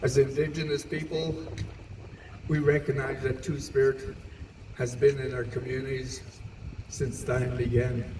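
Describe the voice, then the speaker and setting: Speech comes at a fairly slow pace with monotone, flat intonation and long, frequent pauses. Noticeable background noise runs underneath. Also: man, medium pitch for a man. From Manitoba, Canada. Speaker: Two Spirit Elder. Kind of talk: public speech at community event. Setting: outdoors, PA system.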